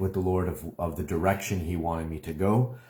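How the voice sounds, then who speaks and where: The recording is very clean, its background silent. A man talks with a somewhat breathy voice. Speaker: online minister. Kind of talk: live video update. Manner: hesitant, many fillers.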